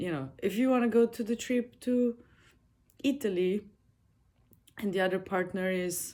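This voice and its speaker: Pausing often and at length, a woman of medium pitch speaks in a dark, mellow tone with lively intonation. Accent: Slavic. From Slovenia, village. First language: Slovene. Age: 30s. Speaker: podcaster. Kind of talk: personal monologue. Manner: casual, halting.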